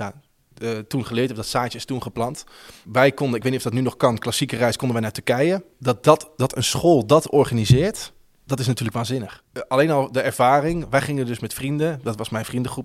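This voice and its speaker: An unremarkable speaking voice from a man, fairly quick, with ordinary pitch variation and big swings in loudness, on a very clean recording with a silent background. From Netherlands, Houten near Utrecht. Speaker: radio host. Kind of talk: interview.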